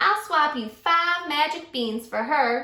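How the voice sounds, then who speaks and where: Putting on a croaky character voice, a woman speaks at a high pitch with a slight echo. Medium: read story.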